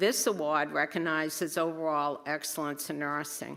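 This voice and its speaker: Speaking at a moderate pace in a Boston accent, a woman has a bright, sharp tone. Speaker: nursing school faculty presenting awards. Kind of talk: award ceremony presentation. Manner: casual, with filler words.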